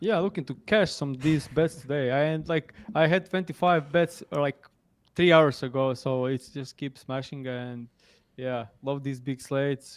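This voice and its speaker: A man with a non-native accent talks at a fairly slow pace and fairly high pitch with ordinary pitch variation, in a dry, close sound with no echo. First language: not English. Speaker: sports betting analyst. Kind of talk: casual chat. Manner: halting.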